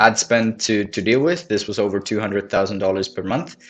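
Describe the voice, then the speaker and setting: Someone speaks with a non-native accent. Music plays in the background. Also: man. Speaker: marketing agency owner. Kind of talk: case study presentation.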